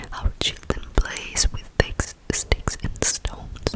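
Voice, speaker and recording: A gentle, whispered voice at a very slow pace with noticeable background noise. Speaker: ASMR content creator. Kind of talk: ASMR whisper reading of a book. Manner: whispered, gentle.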